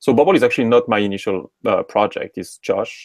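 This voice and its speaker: A man with a French accent talks at a fairly quick pace, the sound dry and close with no echo on a very clean recording with a silent background. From France, Normandy. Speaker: tech startup co-founder. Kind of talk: interview.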